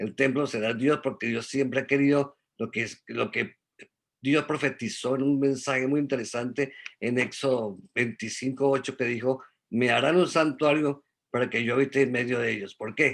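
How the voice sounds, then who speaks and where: This man has a medium pitch. His intonation is fairly even. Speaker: Bible study teacher. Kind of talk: religious study talk. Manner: fast.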